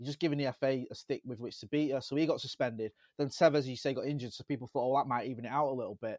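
Talking at a very fast pace, a man with a slight Manchester accent keeps his intonation fairly even while his loudness swings widely. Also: medium pitch for a man. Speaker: football podcaster, United fan. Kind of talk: casual chat. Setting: video call.

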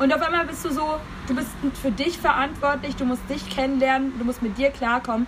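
Amid noticeable background noise, a woman with a high pitch and an animated tone talks at a fairly quick pace. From Munich, Bavaria. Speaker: podcast host. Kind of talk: casual chat.

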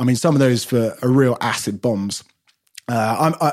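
On a very clean recording with a silent background, a man speaks with a London accent. His medium-pitched voice moves at a fairly quick pace with ordinary pitch variation. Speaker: wine podcast co-host. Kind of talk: casual chat. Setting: home studio outbuilding.

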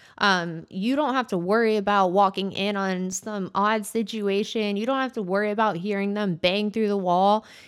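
A woman with a normal speaking voice talks at a moderate pace with hardly any pauses, medium pitch and fairly even intonation, in a very clean recording with a silent background. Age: 30s. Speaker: solo podcaster. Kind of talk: casual monologue. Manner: informal, filler-heavy.

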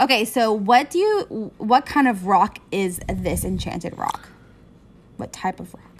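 A woman speaks at a fairly slow pace in an animated tone. Her loudness swings widely. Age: 20s. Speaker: podcast host. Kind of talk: casual chat.

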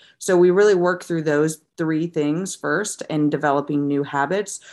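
A woman's fairly low voice with a Midwestern American accent, unhurried and fairly slow, on a very clean recording with a silent background. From US Midwest, St. Louis, Missouri. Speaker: dietitian and wellness coach. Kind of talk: podcast interview.

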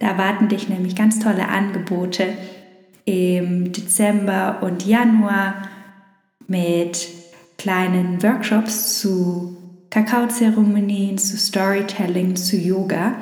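A woman speaks at a very slow pace in a calm, soothing tone, with long, frequent pauses. Her intonation is flat and monotone, and there is noticeable background noise. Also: medium pitch for a woman. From Munich, Germany. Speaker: yoga and meditation teacher. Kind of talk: guided meditation. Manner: slow, calm, soothing, with long pauses; gentle, warm, soft-spoken.

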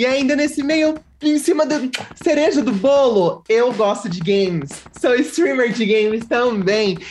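Against noticeable background noise, a woman with a high pitch speaks fairly slowly with lively intonation. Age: 20s. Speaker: streamer and youtuber. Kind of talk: casual chat.

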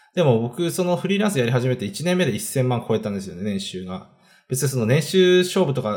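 Moving at a fairly quick pace, a man's medium-pitched voice makes very wide pitch swings. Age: 30s. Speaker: online video entrepreneur. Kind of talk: casual self-introduction monologue. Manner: hesitant, many fillers.

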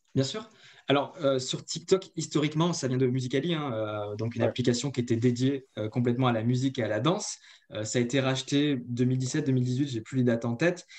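The speaker is a man with a medium pitch and ordinary pitch variation. He talks at a fairly quick pace. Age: 30s. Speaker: marketing agency co-founder. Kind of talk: interview. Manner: hesitant, many fillers.

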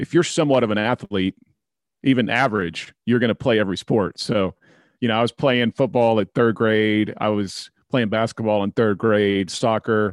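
Against a quiet background, a man with an ordinary speaking voice talks at a moderate pace, fairly low in pitch and with fairly even intonation. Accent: American. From Oklahoma, small town near Tulsa. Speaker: leadership consultant and author. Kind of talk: podcast interview.

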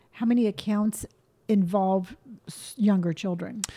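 Somewhat breathy and dark, mellow in tone, a woman speaks at a moderate pace in a fairly high pitch. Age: 50s. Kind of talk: casual chat.

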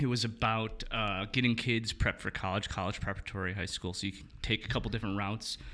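A man with an American accent talks at a very fast pace with hardly any pauses. His fairly low voice has a bright, sharp tone and monotone, flat intonation. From Milwaukee, Wisconsin, US. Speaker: photographer and director. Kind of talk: casual chat.

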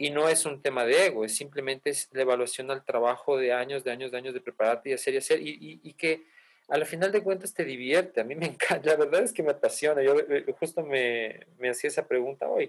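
A man talks at a very fast pace. His voice sits fairly high in pitch. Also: ordinary pitch variation. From Ecuador and Colombia. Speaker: musician and music teacher. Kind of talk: casual interview.

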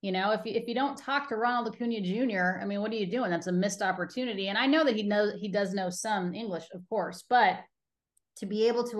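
A woman at medium pitch with an American accent speaks at a fairly quick pace in an unremarkable speaking voice, with ordinary pitch variation over a quiet background. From Colorado. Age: 40s. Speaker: baseball TV reporter and host. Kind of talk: casual interview chat.

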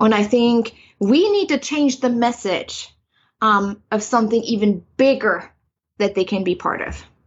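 This woman's fairly high voice is somewhat breathy, with ordinary pitch variation. She talks at a fairly slow pace, leaving long, frequent pauses. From East Germany. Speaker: spiritual coach and author. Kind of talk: interview. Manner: halting, frequent fillers.

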